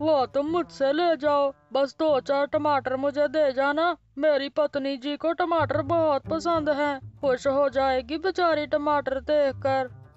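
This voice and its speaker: A cartoonish character voice, high in pitch. It moves at a fairly slow pace. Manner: confident, advising.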